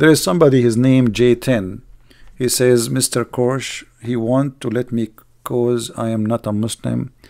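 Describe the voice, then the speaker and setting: A man speaks with an Arabic accent in a dark, mellow tone. The background is quiet. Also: fairly slow pace. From Middle East. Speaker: online video host. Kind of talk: live stream commentary and rant. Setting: live stream online. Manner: animated, sarcastic; non-fluent English, grammar slips.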